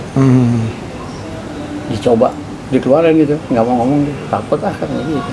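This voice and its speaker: Noticeable background noise sits behind a man speaking at a medium pitch and moderate pace. His pitch varies in an ordinary way, with long, frequent pauses. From Jakarta. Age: 70s. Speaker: linguist, university lecturer. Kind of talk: interview answer. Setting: at home.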